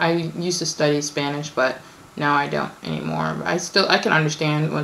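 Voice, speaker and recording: With audible room echo and noticeable background noise, a woman speaks at a moderate pace in a very deep, low pitch. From born in Kenya, raised in the US. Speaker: vlogger. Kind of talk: casual Q&A vlog. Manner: hesitant, many fillers.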